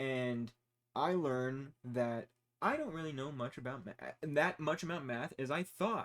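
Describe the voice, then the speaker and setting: With an American accent, a man uses a normal speaking voice at a fairly high pitch, talking at a fairly slow pace with ordinary pitch variation. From United States. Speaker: engineering student vlogger. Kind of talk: casual monologue. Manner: rambling, many fillers.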